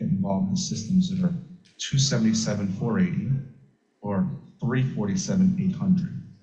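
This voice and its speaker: A man's dark, mellow voice with vocal fry and very wide pitch swings, in audible room echo. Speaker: electrical safety standards engineer. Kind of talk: technical lecture. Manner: soft-spoken. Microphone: too quiet, far from microphone.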